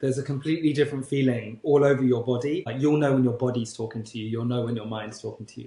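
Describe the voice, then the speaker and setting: A man with a British accent talks at a very fast pace with hardly any pauses, his dark, mellow tone somewhat breathy. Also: medium pitch for a man, fairly even intonation, big swings in loudness. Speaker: podcast co-host and life coach. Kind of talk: casual chat.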